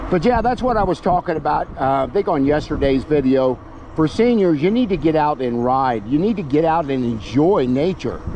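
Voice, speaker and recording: A man's voice with very wide pitch swings, very even loudness and a moderate pace, dry with no echo over light background noise. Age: 70s. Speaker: e-bike reviewer and vlogger; senior cycling vlogger. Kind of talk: casual vlog while riding; casual vlog chat. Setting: outdoors on a bike trail. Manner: relaxed, with frequent filler pauses. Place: bicycle. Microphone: camera far.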